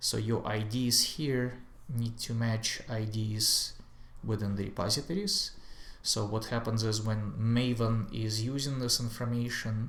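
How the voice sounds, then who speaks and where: Here a man talks at a fairly slow pace in a medium pitch, somewhat breathy. His intonation is fairly even, and the room adds an audible echo. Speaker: software tutorial creator. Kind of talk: screen-share tutorial. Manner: hesitant, many fillers.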